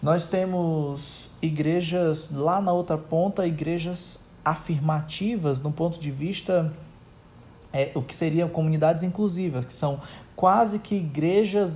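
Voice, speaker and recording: Speaking at a fairly slow pace, a man with a high pitch and a dark, mellow tone shows ordinary pitch variation. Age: 30s. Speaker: pastor. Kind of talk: recorded testimony.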